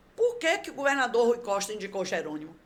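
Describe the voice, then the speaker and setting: Noticeable background noise behind a woman with an animated tone and lively intonation. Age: 70s. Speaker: local politician, council candidate. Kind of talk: podcast interview. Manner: talkative, animated.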